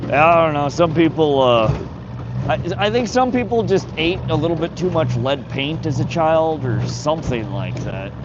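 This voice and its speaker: Echo from the room is audible, and background noise is noticeable. Over it, a man talks at a moderate speed. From North Dakota. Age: 40s. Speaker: fishing livestreamer. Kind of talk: live stream chat with viewers. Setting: outdoors on a boat. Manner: casual, repetitive stammering.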